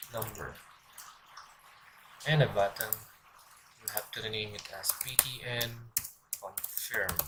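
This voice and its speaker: A man speaks at a fairly slow pace with long, frequent pauses, medium pitch and fairly even intonation. His loudness swings widely, and noticeable background noise is present. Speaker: programming instructor. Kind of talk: screen-recorded coding tutorial.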